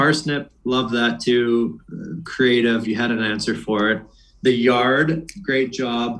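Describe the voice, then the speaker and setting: Here a man has a normal speaking voice with an American accent. His pitch sits in the medium range, with ordinary variation. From Boston. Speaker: retired hockey player. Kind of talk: casual chat.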